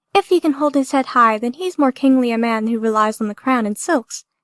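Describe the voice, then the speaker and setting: Using a put-on character voice, a woman speaks at a high pitch with ordinary pitch variation, recorded in a dry, close sound with no echo. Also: fairly quick pace. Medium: read story. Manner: measured, formal.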